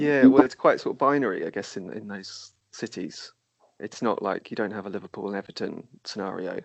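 An unremarkable speaking voice, this man's is fairly low in pitch, moves at a fairly quick pace with ordinary pitch variation, and shows big swings in loudness. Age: 30s. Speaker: podcast host. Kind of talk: casual chat.

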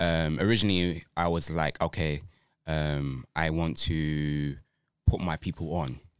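The speaker, with a London accent, talks at a fairly slow pace with fairly even intonation in a very clean recording with a silent background. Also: man, very deep, low pitch for a man. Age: 30s. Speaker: dancer and choreographer. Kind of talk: casual chat. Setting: studio.

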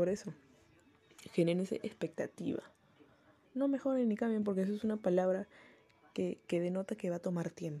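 A somewhat breathy woman at a medium pitch, with a Peruvian accent, a dark, mellow tone and a fairly quick pace. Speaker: podcaster. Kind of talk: casual monologue.

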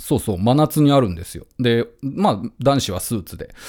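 This man has a normal speaking voice with lively intonation. He talks at a fairly quick pace. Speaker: radio host and musician. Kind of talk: casual radio monologue. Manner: relaxed, with frequent laughter.

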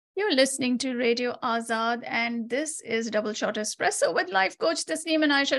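Lively intonation carries the speech over a quiet background. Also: woman. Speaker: radio host. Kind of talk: casual chat.

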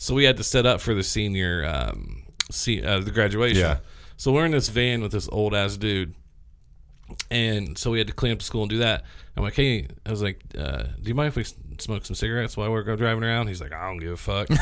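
This man has an unremarkable speaking voice, pitched fairly low. He talks at a fairly quick pace with lively intonation. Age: 30s. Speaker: podcast host. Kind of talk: casual chat. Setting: studio.

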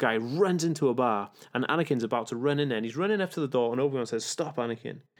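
A man's very fast, animated speech in a British accent, medium in pitch with ordinary pitch variation. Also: very clean recording, silent background. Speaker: author and spiritual movement founder. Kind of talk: casual interview. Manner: fast talkative.

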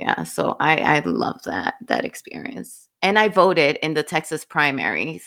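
In a very clean recording with a silent background, a woman talks with hardly any pauses. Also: fairly slow pace. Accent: Dominican. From Dominican Republic. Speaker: book podcast co-host. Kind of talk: casual chat. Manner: laughs often.

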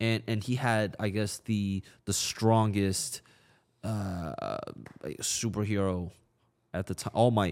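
At a very slow pace and a fairly low pitch, a man talks with long, frequent pauses on a very clean recording with a silent background. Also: ordinary pitch variation. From China. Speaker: podcaster. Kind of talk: casual interview chat. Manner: halting, stuttering.

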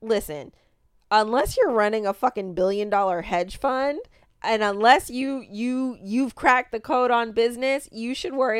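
An ordinary speaking voice from a woman at fairly high pitch, with lively intonation and a moderate pace, on a very clean recording with a silent background. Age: 30s. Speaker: podcast co-host and small business owner. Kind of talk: casual chat.

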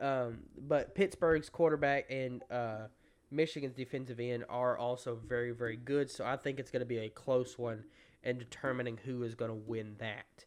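A man at a medium pitch, moderate pace and fairly even intonation. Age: 20s. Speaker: sports podcast host. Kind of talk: solo news rundown. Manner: halting, many fillers.

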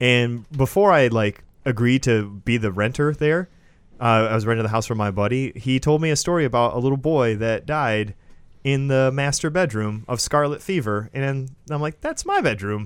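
On a very clean recording with a silent background, a man with a plain, everyday voice and an American accent speaks at a moderate pace, with medium pitch and ordinary pitch variation. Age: 20s. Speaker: podcast host. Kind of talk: casual chat; show announcements.

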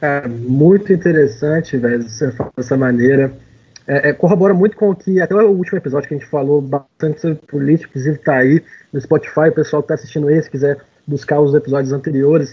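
A man talks at a very fast pace with a somewhat breathy voice. His pitch is fairly high for a man, with ordinary pitch variation. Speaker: podcast host. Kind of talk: casual chat.

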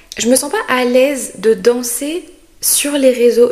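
Woman with a high pitch amid noticeable background noise. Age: 20s. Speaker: podcast host, content creator. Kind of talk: casual solo monologue. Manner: hesitant, with many fillers and repetitions.

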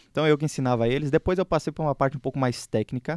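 The sound is dry and close with no echo as a man rattles on at a very fast pace. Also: very clean recording, silent background. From southern Brazil, Porto Alegre. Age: 20s. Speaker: podcast host, economics student. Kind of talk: casual chat.

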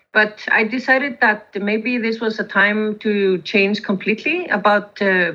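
Her voice is fairly high and bright, with a sharp tone. This woman's pitch varies in an ordinary way. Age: 50s. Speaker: coffee roaster. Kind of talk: interview. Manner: halting.

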